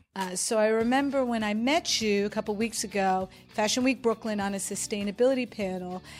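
In an American accent, a woman with a normal speaking voice talks at a fairly quick pace with hardly any pauses, a fairly high pitch and ordinary pitch variation. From New York. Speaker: podcast host. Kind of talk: interview. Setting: studio.

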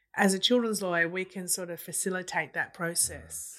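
This woman's medium-pitched voice moves at a moderate pace with a monotone, flat intonation, captured on a very clean recording with a silent background. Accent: Australian. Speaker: family law solicitor, interviewer. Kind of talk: interview discussion.

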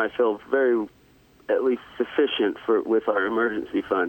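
At a fairly slow pace, a man with an unremarkable speaking voice talks at a medium pitch. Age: 20s. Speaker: elementary school teacher. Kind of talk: casual chat.

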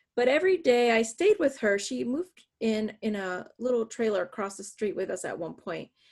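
Speaking fairly quickly in a normal speaking voice, a woman with an American accent has a fairly high pitch on a very clean recording with a silent background. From northwest Pennsylvania. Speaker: author and adjunct professor. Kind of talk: interview.

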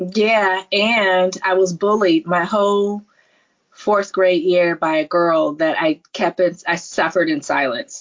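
Very slowly and at very even loudness, a woman with an American accent speaks at a medium pitch with fairly even intonation. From California, Silicon Valley. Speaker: nurse practitioner and entrepreneur. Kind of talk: interview.

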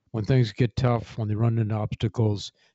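The somewhat breathy voice, in an American accent, moves at a moderate pace with monotone, flat intonation. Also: man. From US Midwest, Kankakee, Illinois. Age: 70s. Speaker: retired military general. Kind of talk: interview storytelling. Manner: halting, many fillers.

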